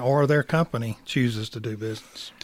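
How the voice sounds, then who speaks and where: This man talks fairly quickly with a Southern US accent. His pitch sits at a medium level. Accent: Southern US (Georgia). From rural middle Georgia. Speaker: bank credit risk director. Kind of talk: casual radio interview.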